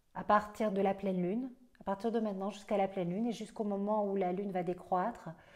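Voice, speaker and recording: Talking at a very fast pace, a woman with a Belgian accent keeps her medium-pitched voice monotone and flat. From Belgium. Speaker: astrologer. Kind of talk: astrology forecast monologue. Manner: hesitant, many fillers.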